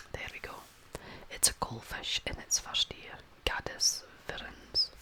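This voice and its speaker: Whispering over noticeable background noise. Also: fairly slow pace. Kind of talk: ASMR whispered reading. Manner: whispered.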